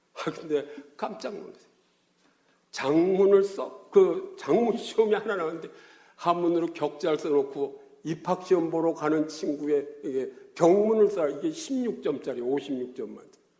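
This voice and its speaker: A high-pitched man's voice with a dark, mellow tone, a fairly slow pace and big swings in loudness. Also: ordinary pitch variation. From Korea, Gyeongsang region. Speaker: pastor. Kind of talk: sermon. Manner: animated, colloquial storytelling.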